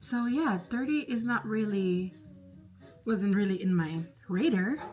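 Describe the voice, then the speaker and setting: With music in the background, a woman of medium pitch speaks at a fairly slow pace, her tone animated and her intonation lively while her loudness stays very even. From Spanish-speaking background. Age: 30s. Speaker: vlogger. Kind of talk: casual chat. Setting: bedroom, doing makeup at vanity. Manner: chatty, animated.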